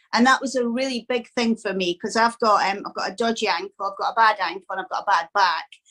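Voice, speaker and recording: Fairly high in pitch, a woman with a Scottish accent speaks at a fairly quick pace. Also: dry, close sound with no echo. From Scotland. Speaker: dog owner, training course student. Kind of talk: interview testimonial.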